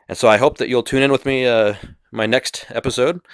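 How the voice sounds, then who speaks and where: Recorded dry and close with no echo and a silent background, a man speaks at a fairly quick pace. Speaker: podcast host. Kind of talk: monologue podcast. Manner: halting.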